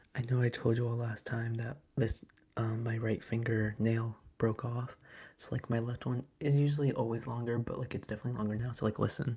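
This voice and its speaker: The voice is soft-spoken and somewhat breathy, with a dark, mellow tone. Its intonation is monotone and flat. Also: man, medium pitch for a man, fairly quick pace. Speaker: ASMR livestreamer. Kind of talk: casual ASMR live chat. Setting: live stream.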